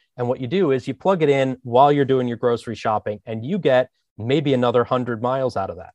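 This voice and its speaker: A man with an American accent talks at a very fast pace, medium in pitch with ordinary pitch variation. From US, Philadelphia area. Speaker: user experience designer. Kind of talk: interview.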